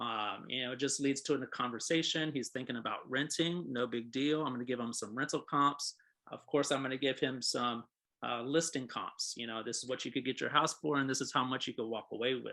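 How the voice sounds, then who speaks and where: A man speaks at a fairly quick pace in a medium pitch, his tone bright and sharp, his intonation fairly even, against a quiet background. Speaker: real estate agent and trainer. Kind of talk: training session. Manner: fast; casual, conversational.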